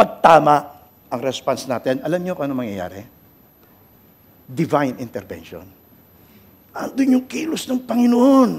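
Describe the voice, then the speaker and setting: The voice moves at a moderate pace with long, frequent pauses, big swings in loudness, and very wide pitch swings. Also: man, fairly high pitch for a man. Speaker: pastor. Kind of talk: sermon.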